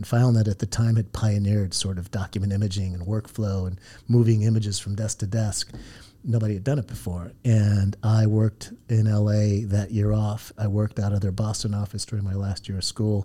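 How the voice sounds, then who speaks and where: In an American accent, a man speaks quickly enough to be called fairly quick, his fairly low pitch carrying a dark, mellow tone that is somewhat breathy and flat, monotone in intonation. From Southern California. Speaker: startup founder and CEO. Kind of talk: interview conversation. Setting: studio. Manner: hesitant with frequent fillers.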